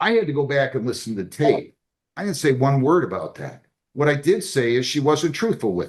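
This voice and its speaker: With vocal fry and very wide pitch swings, a man talks at a fairly quick pace in a fairly high pitch. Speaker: judge. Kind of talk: courtroom hearing. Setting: courtroom.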